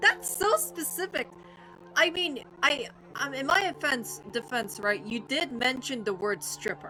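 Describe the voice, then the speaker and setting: Music sits in the background as a woman talks at a fairly slow pace. Her high voice makes very wide pitch swings. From Ireland. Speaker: video game streamer. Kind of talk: casual live stream chat. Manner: animated.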